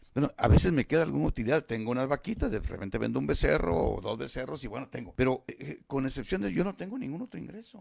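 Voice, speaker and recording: This man's voice carries vocal fry. He talks at a very fast pace. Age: 70s. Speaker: retired teacher and farmer, governor's father. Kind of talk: radio interview. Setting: radio studio. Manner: halting, repeats words.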